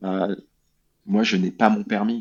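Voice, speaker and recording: A man speaks at a fairly low pitch. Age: 30s. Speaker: former alcoholic, charity president. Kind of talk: testimony. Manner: halting, many fillers.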